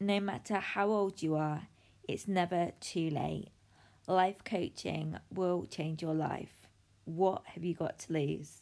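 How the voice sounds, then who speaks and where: A woman speaks very slowly with a British accent. Her pitch is fairly low and her intonation fairly even. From United Kingdom. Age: 30s. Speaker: life coach. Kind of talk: podcast monologue.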